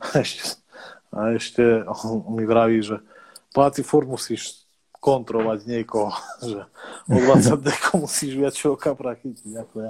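Here a man speaks at medium pitch and moderate pace, with ordinary pitch variation. Big swings in loudness come between long, frequent pauses. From southern central Slovakia, near Hungarian border. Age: 30s. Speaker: carp angler. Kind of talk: casual chat.

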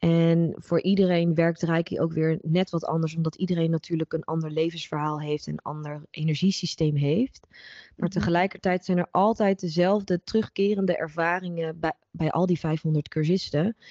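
A woman speaks with a plain, everyday voice at a fairly low pitch. Her pace is moderate and her intonation fairly even. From Netherlands. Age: 30s. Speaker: holistic psychologist and reiki practitioner. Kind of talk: interview conversation.

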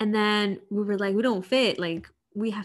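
A woman with a plain, everyday voice and an American accent speaks at a moderate pace and medium pitch on a very clean recording with a silent background. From Chicago. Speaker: podcast co-host. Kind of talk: casual chat.

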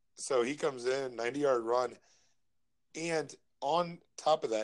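A man with an American accent and a medium pitch talks in an ordinary speaking voice with ordinary pitch variation. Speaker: fantasy football podcast co-host. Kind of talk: casual chat.

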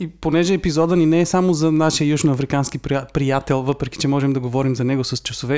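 An unremarkable speaking voice from a man, fairly high in pitch with ordinary pitch variation, at a fairly quick pace on a very clean recording with a silent background. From Bulgaria. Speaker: podcast co-host. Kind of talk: casual chat.

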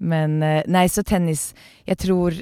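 The recording is very clean, with a silent background. A woman talks at a fairly slow pace in a dark, mellow tone. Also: dry, close sound with no echo. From Norway, Oslo. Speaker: company CEO. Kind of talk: interview. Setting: podcast booth.

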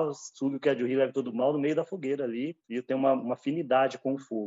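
An unremarkable speaking voice from a man, medium in pitch, at a fairly quick pace with fairly even intonation. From interior of São Paulo state, Brazil (São José do Rio Preto). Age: 50s. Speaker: ayahuasca ceremony leader and therapist, former pastor. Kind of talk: personal testimony interview.

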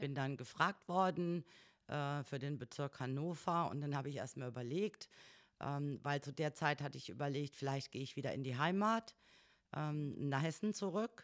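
Very deep and low for a woman, her voice moves at a moderate pace with ordinary pitch variation on a very clean recording with a silent background. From northern Hesse, Germany. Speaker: trade union secretary. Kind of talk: casual interview.

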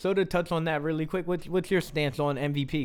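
In an American accent, a man speaks at a very fast pace. The recording is very clean, with a silent background. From US, South Jersey. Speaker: sports podcast host. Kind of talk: casual sports talk.

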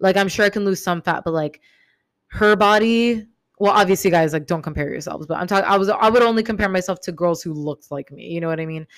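A woman with a medium pitch speaks at a very fast pace with ordinary pitch variation and big swings in loudness, in a very clean recording with a silent background. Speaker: self-help podcaster. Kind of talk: solo podcast monologue. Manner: casual, many fillers like 'um', 'like'.

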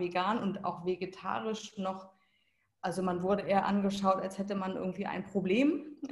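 Somewhat breathy, a woman speaks at a fairly slow pace with a medium pitch. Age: 40s. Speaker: life and business coach. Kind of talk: casual interview conversation.

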